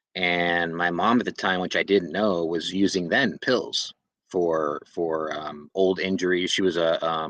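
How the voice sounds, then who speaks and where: A man speaks with a very deep, low pitch and an American accent. His intonation stays fairly even against a quiet background. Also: fairly slow pace. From Southern California. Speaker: person in addiction recovery sharing his story. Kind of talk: personal testimony. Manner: halting, many fillers.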